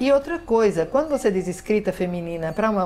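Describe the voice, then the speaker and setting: There is noticeable background noise as a woman speaks. Her pitch is medium, with very wide pitch swings. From Northeast Brazil, Paraíba. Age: 60s. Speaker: writer and literature professor. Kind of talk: interview. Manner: hesitant, many fillers.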